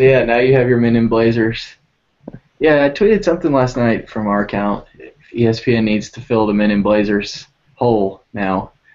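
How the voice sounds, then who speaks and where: Speaking in a Texan accent, a man uses a medium pitch, a moderate pace and ordinary pitch variation. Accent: Texan twang with y'alls and fixin' tos. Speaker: soccer podcast host. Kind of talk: casual panel chat.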